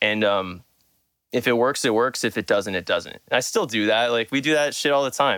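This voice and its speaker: At medium pitch and a moderate pace, a man with an American accent speaks in a bright, sharp tone with ordinary pitch variation and very even loudness. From Southern California. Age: 30s. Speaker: music producer and mixing engineer. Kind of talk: casual chat.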